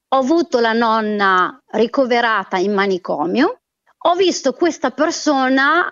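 The voice moves at a fairly slow pace. Its pitch swings very widely. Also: woman. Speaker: former editor and caller. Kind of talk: emotional commentary. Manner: indignant, agitated.

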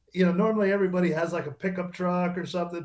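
Over music in the background, a man with a high pitch speaks in a monotone, flat intonation. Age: 60s. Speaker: retired drag racer. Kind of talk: interview. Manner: halting.

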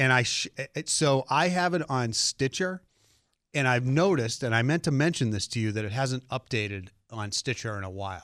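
An unremarkable speaking voice with lively intonation proceeds at a moderate pace, the sound dry and close with no echo on a very clean recording with a silent background. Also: man, medium pitch for a man. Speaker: car journalist guest. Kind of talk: casual radio chat about cars. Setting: radio studio.

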